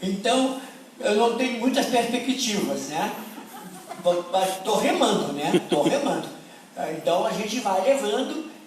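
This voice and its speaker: With audible room echo and noticeable background noise, a man of high pitch speaks at a fairly slow pace, using lively intonation and long, frequent pauses. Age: 80s+. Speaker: professor. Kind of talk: conference talk. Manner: halting.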